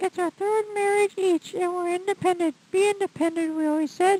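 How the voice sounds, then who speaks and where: This is a squeaky, put-on character voice with fairly even intonation. The sound is dry and close, with no echo. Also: woman, extremely high pitch for a woman, moderate pace. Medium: stage play.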